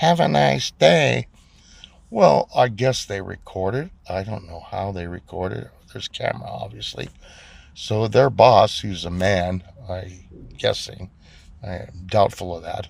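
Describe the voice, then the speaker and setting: A man with a very deep, low voice and vocal fry talks fairly slowly, his loudness swinging widely. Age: 60s. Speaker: vlogger. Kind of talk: personal rant vlog. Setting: in a car. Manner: indignant, animated.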